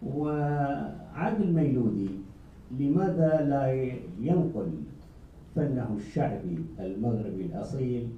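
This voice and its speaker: Audible room echo and noticeable background noise fill the recording. Over them, a man speaks with lively intonation. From Iraq. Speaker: journalist. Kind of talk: press conference question.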